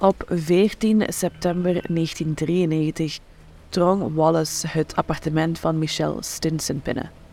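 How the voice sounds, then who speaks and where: At a very slow pace, a woman speaks with a fairly low pitch and fairly even intonation in a very clean recording with a silent background. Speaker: true crime podcast narrator. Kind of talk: true-crime narration, scripted and read aloud in an ominous tone. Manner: grave, measured, suspenseful storytelling.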